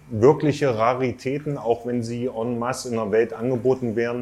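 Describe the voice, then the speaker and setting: A man speaks at a medium pitch with a dark, mellow tone. His intonation is monotone and flat, and his pace fairly slow. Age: 30s. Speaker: aquarium fish importer and shop owner. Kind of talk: interview. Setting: on location at his shop.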